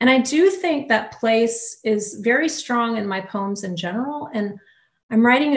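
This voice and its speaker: In an American accent, a woman speaks at a fairly slow pace with a fairly high, somewhat breathy voice and lively intonation, over a quiet background with audible room echo. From US South, Louisiana. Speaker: poet. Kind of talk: audience Q&A. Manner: halting. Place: home room. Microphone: video call.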